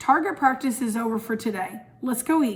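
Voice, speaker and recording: A woman's put-on character voice, high-pitched and calm in tone, at a moderate pace. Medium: read story. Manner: calm, encouraging.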